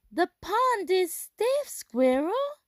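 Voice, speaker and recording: A woman puts on a squeaky character voice at an extremely high pitch. Her pitch swings very widely. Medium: read story.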